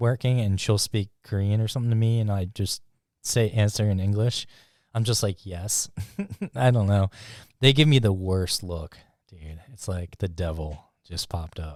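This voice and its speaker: On a very clean recording with a silent background, a man with an American accent speaks in a plain, everyday voice, his pitch fairly low with ordinary variation, at a moderate pace. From USA. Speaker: podcast host. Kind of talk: casual chat.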